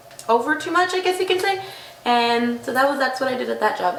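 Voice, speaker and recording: A woman with an American accent speaks with lively intonation over noticeable background noise and audible room echo. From Texas, Corpus Christi area. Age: 20s. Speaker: daycare teacher and waitress. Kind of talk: self-introduction monologue. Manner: casual.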